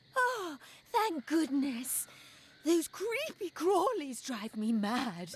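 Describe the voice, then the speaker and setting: A woman's put-on character voice, high-pitched, very slow, with very wide pitch swings. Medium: video game. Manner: chatty, gossipy.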